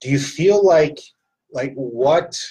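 A man's somewhat breathy voice with very wide pitch swings. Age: 60s. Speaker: fitness gym owner and podcast host. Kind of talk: casual interview. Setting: studio at a gym.

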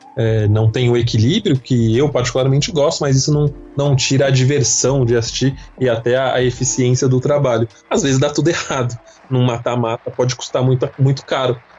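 Music plays in the background while the speaker goes at a fairly quick pace. The intonation is fairly even and the loudness very even. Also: man, medium pitch for a man. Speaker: football podcast host. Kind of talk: casual chat. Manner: talkative.

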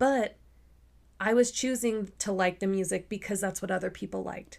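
In a plain, everyday voice, a woman speaks at a medium pitch and a moderate pace with fairly even intonation. The recording is very clean, with a silent background. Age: 30s. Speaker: podcast co-host with teaching background. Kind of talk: casual chat; lecture.

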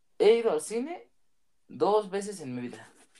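A man talks with lively intonation. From Michoacán, Mexico (small town). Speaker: guest friend. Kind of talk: casual chat.

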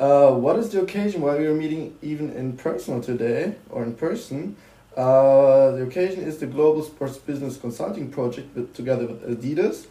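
A man's fairly high pitch, ordinary pitch variation and moderate pace. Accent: German. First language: German. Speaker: student podcast host. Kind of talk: interview.

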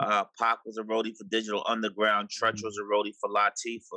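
A man's medium-pitched voice, bright and sharp in tone, with a dry, close sound and no echo. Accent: New York. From New York City (Harlem and Far Rockaway, Queens). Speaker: TV executive producer. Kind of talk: casual interview.

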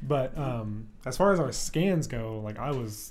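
A man at a moderate pace with ordinary pitch variation, a plain, everyday voice. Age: 20s. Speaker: fitness podcast co-host. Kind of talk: casual chat.

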